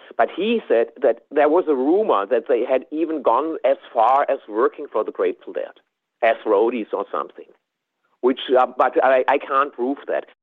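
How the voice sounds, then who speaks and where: The speaker is a man with a German accent. He talks at a moderate pace. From southwest Germany. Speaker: tape trader and fan. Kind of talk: interview recollection.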